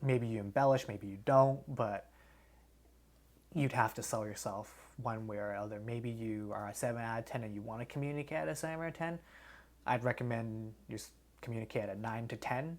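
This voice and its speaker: An ordinary speaking voice from a man with medium pitch and ordinary pitch variation, talking at a fairly quick pace. The recording is very clean, with a silent background. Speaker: podcast host. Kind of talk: casual chat.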